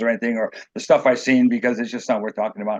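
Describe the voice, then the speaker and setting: A man with an American accent talks over a quiet background. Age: 60s. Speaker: author and former drug addict telling his life story. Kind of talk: interview, personal testimony. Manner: halting, many repeated words and false starts.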